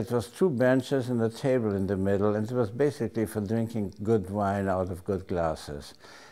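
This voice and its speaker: Dark, mellow tone in a German accent, at a moderate pace with ordinary pitch variation. The recording is very clean, with a silent background. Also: man. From Austria, Vienna. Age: 80s+. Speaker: family elder interviewee. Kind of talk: oral history interview. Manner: halting.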